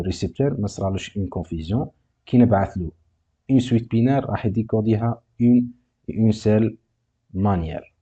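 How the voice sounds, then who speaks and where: Against a quiet background, a man speaks at a moderate pace in a dark, mellow, somewhat breathy voice. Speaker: university teacher. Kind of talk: lecture, course exercise explanation.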